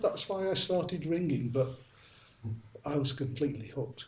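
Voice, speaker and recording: A man speaks with a Manchester accent and a fairly high pitch. His voice is somewhat breathy, with long, frequent pauses. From northern England, Ashton-under-Lyne, Greater Manchester. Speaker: bell ringer. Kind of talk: interview. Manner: halting, many fillers.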